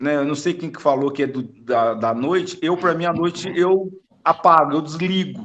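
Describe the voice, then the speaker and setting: At a moderate pace, a man talks with a high pitch. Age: 50s. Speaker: spiritist study group participant. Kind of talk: group discussion over video call. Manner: halting.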